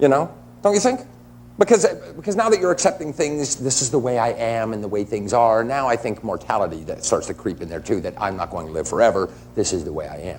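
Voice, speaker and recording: Very fast speech with vocal fry and very wide pitch swings. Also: man, medium pitch for a man. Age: 40s. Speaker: talk show panelist. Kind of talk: casual chat.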